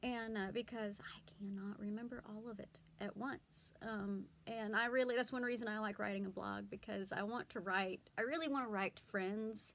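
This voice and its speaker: The speaker has a Southern US accent. The pace is moderate and the intonation fairly even. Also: woman, fairly high pitch for a woman. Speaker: blogger and homeschooling mom. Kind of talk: casual vlog talk. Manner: hesitant, many fillers.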